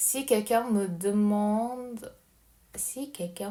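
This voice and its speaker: This woman's voice has a dark, mellow tone, medium pitch and ordinary pitch variation. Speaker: language learner. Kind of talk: casual recorded voice message monologue. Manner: halting, hesitant with many fillers.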